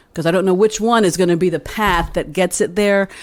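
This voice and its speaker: In an American accent, a woman speaks at a fairly quick pace with an animated tone. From Texas, Austin. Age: 60s. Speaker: musician. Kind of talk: casual chat. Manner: halting.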